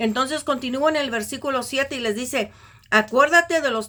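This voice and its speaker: Her raised, projected voice sits at a high pitch for a woman. The woman's intonation is lively and her tone bright and sharp. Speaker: Bible teacher. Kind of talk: religious teaching. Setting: recorded video.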